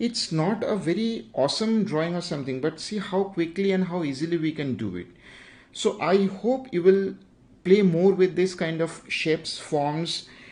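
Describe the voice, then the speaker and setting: With a quiet background, a man speaks in an Indian accent at a high pitch with ordinary pitch variation. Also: moderate pace. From India, Bengal. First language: Bengali. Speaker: digital art teacher, YouTuber. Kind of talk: livestream drawing tutorial. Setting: YouTube livestream. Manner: halting, many fillers.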